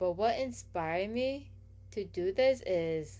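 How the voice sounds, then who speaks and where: A woman speaks in a dark, mellow tone. Her pitch varies in an ordinary way. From Hawaii, Oahu east side. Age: 20s. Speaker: YouTuber, card collector. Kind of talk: channel introduction vlog. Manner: casual, chatty.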